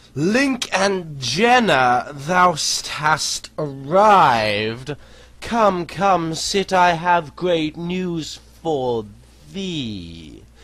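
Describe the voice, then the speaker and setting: A man does a put-on character voice at a high pitch. He speaks at a very slow pace. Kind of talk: archaic formal speech. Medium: read story.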